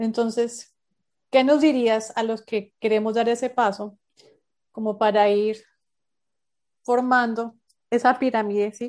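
In a quiet background, a woman talks at a fairly slow pace with fairly high pitch, fairly even intonation and an ordinary speaking voice. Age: 30s. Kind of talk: interview. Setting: remote call.

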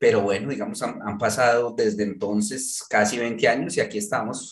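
With ordinary movement in his pitch, a man talks at a medium level. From Colombia, Manizales. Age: 40s. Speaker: journalist and novelist. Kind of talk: interview conversation. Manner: halting, many repetitions.

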